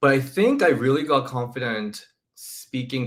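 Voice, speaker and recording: A man talks with a Korean accent. His pitch varies in an ordinary way. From South Korea. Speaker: women's wrestling YouTuber. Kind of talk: casual chat.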